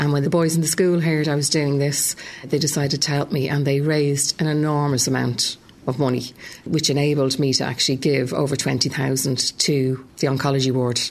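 Monotone, flat delivery in a Dublin accent at a moderate pace. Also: woman, very deep, low pitch for a woman. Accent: Dublin Irish. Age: 40s. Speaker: cancer survivor and former school secretary. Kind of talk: testimony; talk to students.

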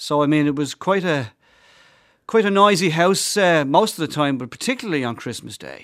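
A man speaks with a Dublin accent in a fairly high voice at a moderate pace. His intonation is lively and his loudness swings widely. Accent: Dublin Irish. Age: 50s. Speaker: priest. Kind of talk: casual chat. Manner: halting.

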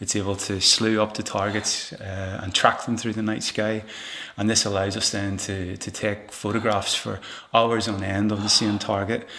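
A man speaks with a fairly low pitch and a bright, sharp tone. His intonation stays monotone and flat. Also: moderate pace. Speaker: observatory technical officer. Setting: observatory.

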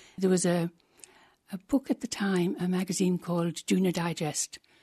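A woman with an Irish accent has a somewhat breathy, dark, mellow tone. The sound is dry and close with no echo, over a quiet background. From Ireland. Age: 80s+. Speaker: former columnist and counsellor. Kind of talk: interview.

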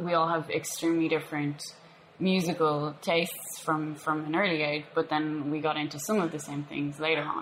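A woman's very deep, low pitch in an Irish accent, at a moderate pace with monotone, flat intonation, over noticeable background noise. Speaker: punk bassist and poet. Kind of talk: interview. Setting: cafe.

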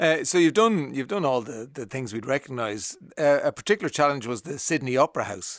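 A man with an Irish accent talks at a fairly quick pace with hardly any pauses, a fairly high pitch, lively intonation and big swings in loudness, in a dry, close sound with no echo and a quiet background. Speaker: radio host. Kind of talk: radio interview.

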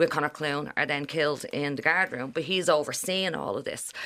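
In a Dublin accent, a woman speaks at a very deep, low pitch with ordinary pitch variation. Her tone is bright and sharp, and her pace is moderate. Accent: Irish, Dublin. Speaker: historian. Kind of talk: interview. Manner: animated.

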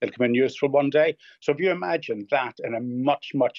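Speaking in a Northern Irish accent, a man talks at a fairly high pitch. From Northern Ireland. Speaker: hoarding specialist. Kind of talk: radio interview. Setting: phone call.

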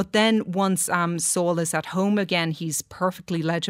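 In a very clean recording with a silent background, a woman with an Irish accent talks in a fairly low, monotone voice with flat intonation. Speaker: film critic. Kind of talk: studio discussion. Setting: studio.

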